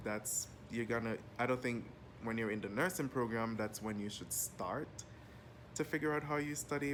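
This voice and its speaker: Talking at a moderate pace, a man has a medium pitch with ordinary pitch variation. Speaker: nursing student and health assistant. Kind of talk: casual vlog monologue. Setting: lying down at home. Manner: casual, unscripted.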